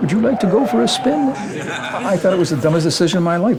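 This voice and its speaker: Through noticeable background noise, a man speaks very fast at a high pitch with very wide pitch swings. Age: 80s+. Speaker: retired advertising executive. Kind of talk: casual interview and creative meeting.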